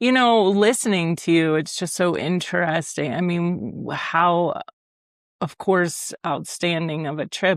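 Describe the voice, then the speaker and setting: A woman's fairly low-pitched, normal speaking voice with an American accent, lively intonation and a fairly slow pace, on a very clean recording with a silent background. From Ohio, US Midwest. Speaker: podcast host. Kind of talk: interview conversation.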